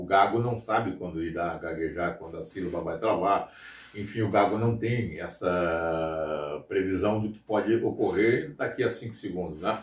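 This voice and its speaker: A man's somewhat breathy voice at a moderate pace with ordinary pitch variation. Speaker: radio announcer. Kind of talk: interview. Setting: outdoors in front of a radio station. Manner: casual, conversational.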